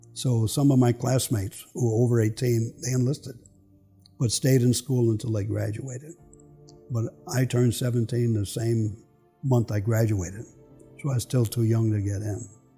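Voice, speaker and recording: Music plays in the background as a man with an American accent speaks at a moderate pace and medium pitch. His intonation is fairly even, broken by long, frequent pauses. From Philadelphia, US. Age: 90s. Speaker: war veteran. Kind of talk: testimony.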